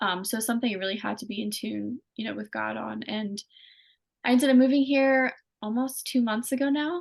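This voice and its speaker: Against a quiet background, a woman with a slight Pennsylvania accent speaks at a fairly quick pace. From Pennsylvania, US. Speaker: singer-songwriter. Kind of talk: interview. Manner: casual, many fillers.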